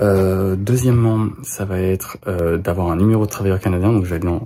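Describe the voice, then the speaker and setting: In a dark, mellow tone, a man speaks at a fairly low pitch. His pace is moderate and his intonation fairly even. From France. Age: 20s. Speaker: vlogger. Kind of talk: vlog. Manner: hesitant, many fillers.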